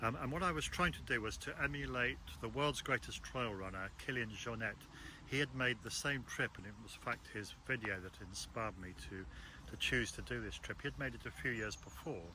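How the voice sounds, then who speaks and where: Vocal fry runs through this man's medium-pitched voice, and his intonation is lively. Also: fairly quick pace. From Africa. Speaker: trail runner and author. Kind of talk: casual talk about his book. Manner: hesitant, many fillers and restarts.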